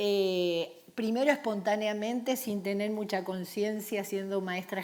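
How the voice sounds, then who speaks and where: Speaking at a medium pitch and fairly slow pace, a woman with a plain, everyday voice keeps her intonation fairly even. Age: 60s. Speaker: storyteller for children. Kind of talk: panel discussion.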